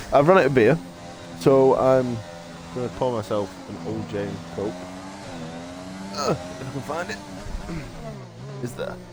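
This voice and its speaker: A man with a northern English accent speaks at a medium pitch with lively intonation and long, frequent pauses. Music plays in the background, and the room echo is audible. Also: moderate pace, big swings in loudness. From northern England. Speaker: sim racing commentator. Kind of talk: live commentary. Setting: live stream.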